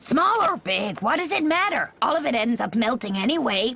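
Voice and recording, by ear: A cartoonish character voice, female-sounding and high-pitched, with very wide swings in pitch. It moves at a moderate pace.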